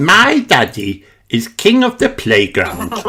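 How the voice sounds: The speaker talks slowly with very wide pitch swings and a bright, sharp tone that carries a slightly husky edge.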